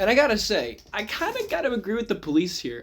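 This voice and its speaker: A man at a fairly quick pace with very wide pitch swings, over noticeable background noise. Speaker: true crime news host. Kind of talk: casual talk to camera. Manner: fast.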